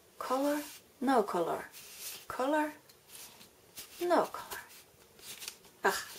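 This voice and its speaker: Against noticeable background noise, a woman with a high pitch talks at a very slow pace, her intonation lively and her speech broken by long, frequent pauses. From Finland. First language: Finnish. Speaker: crafting tutorial maker. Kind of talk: tutorial. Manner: halting.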